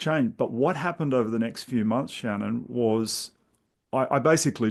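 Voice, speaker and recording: A man with an Australian accent speaks at a medium pitch with ordinary pitch variation and some vocal fry. The background is quiet. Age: 60s. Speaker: intuitive coach. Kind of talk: podcast interview.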